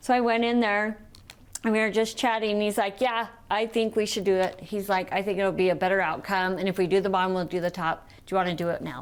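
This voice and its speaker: A woman speaks at a very fast clip with an animated tone. Her pitch sits in the middle range. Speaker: TV talk show co-host. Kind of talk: casual chat.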